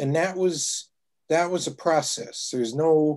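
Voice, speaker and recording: A man with an American accent at a very slow pace, against a quiet background. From US Midwest. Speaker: activist and educator on Southern Africa; educator on Southern Africa. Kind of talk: talk and Q&A; talk to an online class. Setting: video call. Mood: warm, reflective, animated. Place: home room. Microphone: video call.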